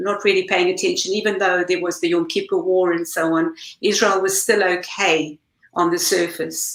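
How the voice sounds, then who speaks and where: A woman at medium pitch, with ordinary pitch variation and a moderate pace. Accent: South African. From South Africa. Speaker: campaign group leader. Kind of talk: panel discussion.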